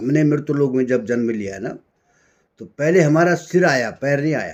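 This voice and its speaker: Ordinary pitch variation marks a man's plain, everyday voice, pitched fairly high. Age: 60s. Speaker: spiritual speaker. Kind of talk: spiritual talk.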